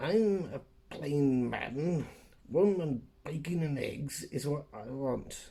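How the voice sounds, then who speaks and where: A man uses a put-on character voice with a fairly high pitch and ordinary pitch variation. His pace is very slow. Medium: read story. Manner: rough, commanding.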